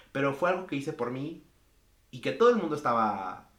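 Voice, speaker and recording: A man at medium pitch with lively intonation and a moderate pace, plus audible room echo. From Mexico. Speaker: podcast guest. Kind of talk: casual chat.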